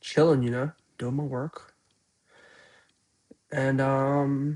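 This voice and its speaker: A man speaks very slowly in a fairly high voice, his intonation flat and monotone. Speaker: vlogger. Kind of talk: casual vlog. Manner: casual, hesitant with fillers.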